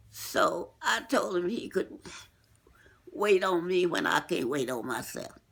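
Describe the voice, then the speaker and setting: A woman's medium-pitched voice at a very slow pace, with very wide pitch swings. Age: 80s+. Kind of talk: casual interview answer.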